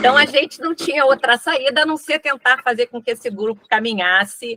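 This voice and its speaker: Dry, close sound with no echo, a moderate pace and ordinary pitch variation. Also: woman. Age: old. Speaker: professor introducing guest. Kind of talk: event introduction.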